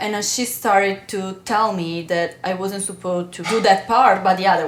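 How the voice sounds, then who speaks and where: A woman speaks with an Italian accent and fairly even intonation. Noticeable background noise is present. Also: medium pitch for a woman, moderate pace. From Italy. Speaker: actress. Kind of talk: podcast interview answer.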